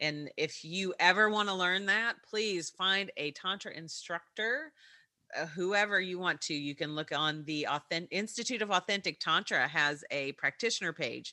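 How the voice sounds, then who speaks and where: With an American accent, a woman speaks at a moderate pace and medium pitch, her tone bright and sharp, her pitch variation ordinary, in a very clean recording with a silent background. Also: dry, close sound with no echo. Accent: Kentucky, slight when podcasting. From Kentucky, US. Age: 40s. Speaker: podcast host. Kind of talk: casual chat.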